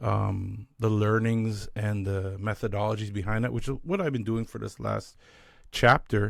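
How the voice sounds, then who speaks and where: A man with a Canadian accent speaks in a plain, everyday voice at a fairly low pitch, with fairly even intonation and a moderate pace, on a very clean recording with a silent background. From Canada. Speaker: leadership strategist. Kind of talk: interview conversation. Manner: casual, conversational.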